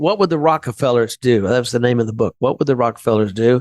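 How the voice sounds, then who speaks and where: This is a man with a plain, everyday voice and an American accent. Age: 60s. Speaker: insurance business owner. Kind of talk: podcast interview.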